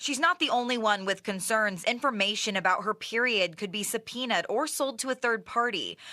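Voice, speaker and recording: A woman talks at a fairly quick pace with hardly any pauses, her fairly high voice bright and sharp in tone. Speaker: TV news reporter and anchor. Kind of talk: TV news reporter package.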